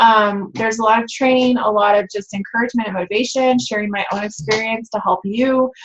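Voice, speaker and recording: At a moderate tempo, a woman talks in a fairly high, somewhat breathy voice, her pitch varying in an ordinary way. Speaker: fitness business coach and team leader. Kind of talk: team training webinar. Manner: casual, many fillers.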